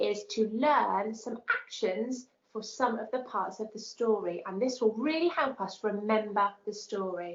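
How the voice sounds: A natural reading voice. The pitch varies in an ordinary way.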